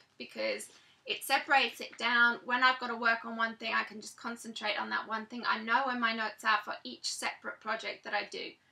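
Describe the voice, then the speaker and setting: A woman with a British accent speaks at a high pitch. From Britain. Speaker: author and blogger. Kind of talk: vlog tutorial. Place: home room. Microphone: webcam.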